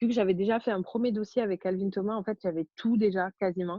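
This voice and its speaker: The pitch of this woman's voice is medium. Her intonation stays fairly even. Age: 20s. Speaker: au pair. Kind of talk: interview. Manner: hesitant, many fillers.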